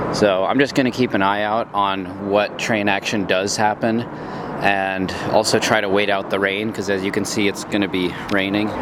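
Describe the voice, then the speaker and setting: A man's fairly low-pitched voice in monotone, flat intonation, over noticeable background noise. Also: moderate pace. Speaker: travel vlogger. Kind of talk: vlog narration. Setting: outdoors. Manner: casual.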